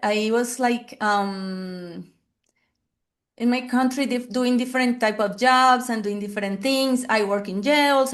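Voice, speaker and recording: A woman with a Spanish accent speaks at a fairly high pitch with fairly even intonation. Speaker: family therapist. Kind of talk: interview. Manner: halting.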